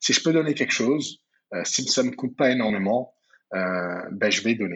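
A man of medium pitch talks at a moderate pace with lively intonation. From France, Paris region (Val-de-Marne). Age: 30s. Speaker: entrepreneur. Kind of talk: interview. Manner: hesitant, many fillers.

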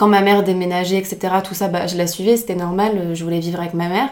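This woman has an unremarkable speaking voice, talking at a fairly quick pace with medium pitch and fairly even intonation. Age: 20s. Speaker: law student. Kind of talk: casual chat.

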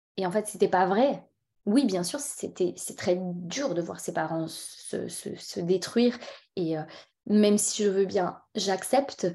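In a dark, mellow tone, a woman talks at a very slow pace with long, frequent pauses. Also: medium pitch for a woman, ordinary pitch variation. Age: 40s. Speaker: entrepreneur, event agency owner. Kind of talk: personal testimony interview. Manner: hesitant, repeats words.

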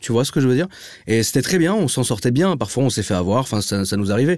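A man's medium-pitched voice, very fast in pace, with lively intonation. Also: very clean recording, silent background. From Paris, 16th arrondissement. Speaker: car enthusiast influencer. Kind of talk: casual chat.

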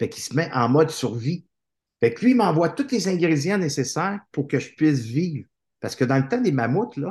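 A somewhat breathy man's voice, fairly high in pitch with very wide pitch swings, against a quiet background. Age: 50s. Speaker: author and motivational speaker. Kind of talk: casual interview chat.

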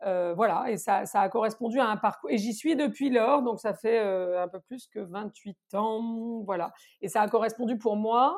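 A woman's fairly high, ordinary speaking voice, fairly slow, with ordinary pitch variation. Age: 50s. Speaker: consultancy founder. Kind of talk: interview.

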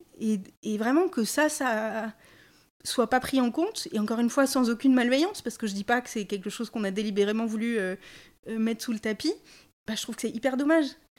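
On a very clean recording with a silent background, a woman speaks at a fairly quick pace and fairly high pitch with ordinary pitch variation and long, frequent pauses. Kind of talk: casual chat.

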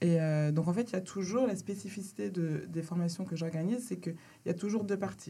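In a room with audible echo, a woman with a fairly low pitch and a dark, mellow tone speaks fairly quickly, somewhat breathy, with fairly even intonation. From France, Mayenne (Laval). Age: 30s. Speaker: hair care entrepreneur. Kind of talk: interview.

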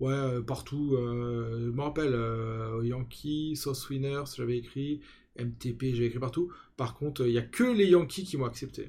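At a fairly slow pace, a man speaks at medium pitch in a somewhat breathy voice with a dark, mellow tone and ordinary pitch variation. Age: 40s. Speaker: podcast host and fantasy football content creator. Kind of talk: casual chat.

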